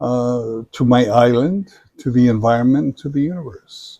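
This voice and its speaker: In a Samoan accent, a man speaks at a very slow pace with a dark, mellow tone. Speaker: retired business professor. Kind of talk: interview. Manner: hesitant, many fillers.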